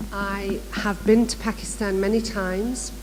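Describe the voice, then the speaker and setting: A woman with a Manchester accent at a fairly slow pace, amid audible room echo and noticeable background noise. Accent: northern English (Manchester area). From northern England, near Manchester. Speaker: education director, workshop speaker. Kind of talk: conference workshop presentation. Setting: conference room with live audience.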